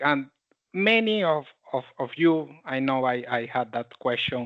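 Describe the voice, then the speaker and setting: Speaking with a Panamanian accent, a man moves at a very slow pace with lively intonation. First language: Spanish. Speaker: tech community leader and presenter. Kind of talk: technical presentation. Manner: halting.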